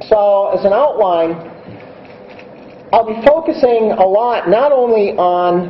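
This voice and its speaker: A man talks at a very slow pace with a high pitch and ordinary pitch variation, leaving long, frequent pauses. The room echo is audible, and background noise is noticeable. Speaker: invited conference speaker. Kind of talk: conference keynote talk. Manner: deliberately slowed pace; hesitant, many fillers.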